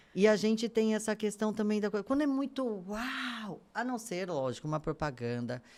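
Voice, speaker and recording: A woman with an ordinary speaking voice talks at a fairly high pitch and a moderate pace, with lively intonation and hardly any pauses, in a very clean recording with a silent background. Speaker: podcast host. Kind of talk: podcast interview.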